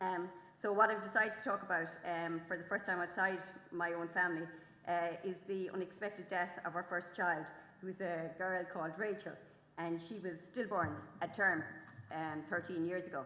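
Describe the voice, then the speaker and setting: A woman with an Irish accent speaks at a medium pitch with fairly even intonation. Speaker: farming journalist and author. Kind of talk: festival talk. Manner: fast; halting.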